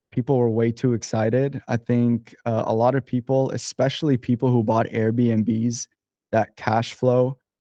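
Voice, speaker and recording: A man's voice sits at a medium pitch. He keeps a moderate pace in a flat, monotone delivery. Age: 20s. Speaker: real estate investor. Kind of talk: interview. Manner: casual.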